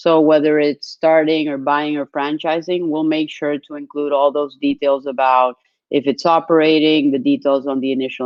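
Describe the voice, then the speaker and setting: A woman speaks in a Spanish accent with a very deep, low pitch. Her intonation is monotone and flat, and her pace is moderate. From Colombia. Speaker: business development executive. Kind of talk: webinar presentation.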